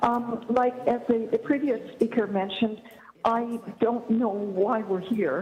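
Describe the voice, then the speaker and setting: Fairly slow pace and fairly even intonation at very even loudness, with audible room echo and noticeable background noise. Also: woman, fairly high pitch for a woman. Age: 60s. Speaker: family physician giving public deputation. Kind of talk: public meeting deputation. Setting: video conference. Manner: halting, many fillers.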